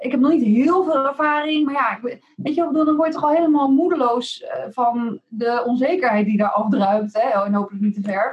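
Her pitch is high, and this woman talks at a moderate pace with ordinary pitch variation. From Netherlands, Rotterdam. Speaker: presentation coach. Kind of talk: interview.

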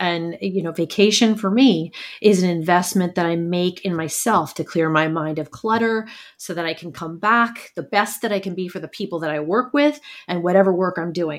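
A woman with an American accent speaks at a moderate pace in an unremarkable speaking voice. Her pitch is fairly low with ordinary variation, and the recording is very clean with a silent background. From New York, Brooklyn. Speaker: leadership coach. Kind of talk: interview.

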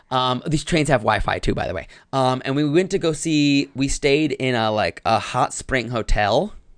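A man with an American accent talks at a moderate pace with hardly any pauses, over a quiet background. He has an unremarkable speaking voice at a fairly high pitch. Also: ordinary pitch variation. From North Carolina, US. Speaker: comedian and improv teacher. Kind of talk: casual chat.

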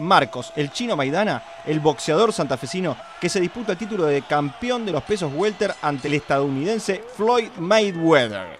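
A man at a high pitch, moderate pace and lively intonation, hardly any pauses, noticeable background noise behind him. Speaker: podcast host. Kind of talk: casual chat. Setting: studio.

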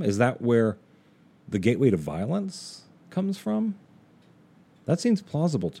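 His pitch swings very widely. The man's tone is dark and mellow. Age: 50s. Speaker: podcast host. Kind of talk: monologue.

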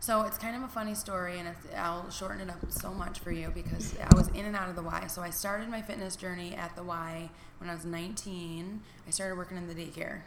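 A woman with a Michigan accent speaks at a fairly quick pace with fairly even intonation and big swings in loudness, amid audible room echo and noticeable background noise. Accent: Michigan Midwestern American. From US Midwest (Niles, Michigan). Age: 30s. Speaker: fitness instructor and business owner. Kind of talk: casual interview.

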